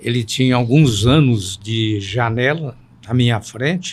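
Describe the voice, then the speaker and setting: Speech unfolds very slowly, and the pitch varies in an ordinary way. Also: man. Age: 70s. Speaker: veteran journalist. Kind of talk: interview.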